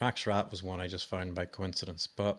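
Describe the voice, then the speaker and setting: A man with a strong Irish accent and a bright, sharp tone. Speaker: cybersecurity founder and presenter. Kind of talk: webinar demo and Q&A. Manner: casual, conversational.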